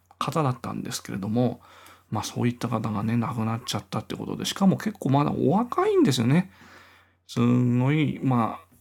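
There is lively intonation as a man speaks at a moderate pace. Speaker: podcaster and guitarist. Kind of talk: casual solo monologue.

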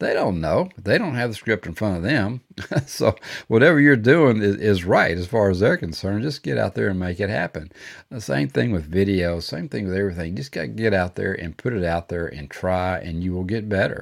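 A man with a Texan accent speaks at a fairly quick pace in a very deep, low voice with lively intonation, on a very clean recording with a silent background. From Texas. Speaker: podcast host, business coach. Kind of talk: solo motivational talk. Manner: casual, halting with many fillers.

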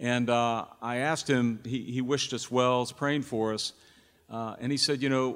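Speaking fairly slowly, a man has an unremarkable speaking voice at a medium pitch. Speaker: church pastor. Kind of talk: introducing a guest preacher at a church service. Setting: church.

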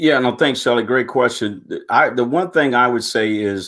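In a plain, everyday voice, a man with an American accent and medium pitch speaks with lively intonation. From Michigan, Pontiac. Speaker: retired Marine and nonprofit founder. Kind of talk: interview. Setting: video call.

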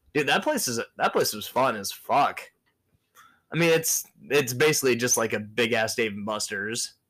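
A man with an American accent and an ordinary speaking voice, medium pitch with ordinary pitch variation, moderate pace, very clean recording with a silent background. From Michigan, US. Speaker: podcast co-host. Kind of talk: casual chat.

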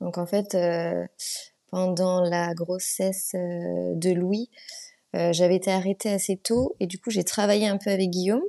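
The woman's delivery is monotone, with flat intonation and a medium pitch. She goes at a fairly slow pace, and the sound is dry and close with no echo. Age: 30s. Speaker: amateur runner and beekeeping business owner. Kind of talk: casual interview.

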